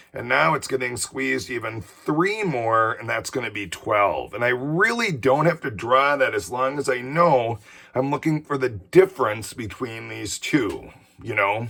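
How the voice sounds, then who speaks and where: A man speaks fairly slowly at medium pitch, with lively intonation. His tone is bright and sharp, with vocal fry. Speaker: teacher. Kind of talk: tutorial. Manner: casual.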